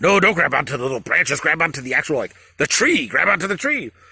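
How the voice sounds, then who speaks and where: A man speaks in a put-on character voice, pitched high, with very wide pitch swings. He talks at a very fast pace. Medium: read story. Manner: coaxing, bossy.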